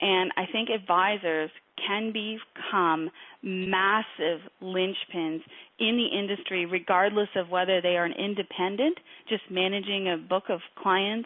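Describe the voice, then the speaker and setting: Her loudness very even, a woman of medium pitch speaks at a fairly slow pace with fairly even intonation. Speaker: financial industry coach and interviewer. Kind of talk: interview. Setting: webinar.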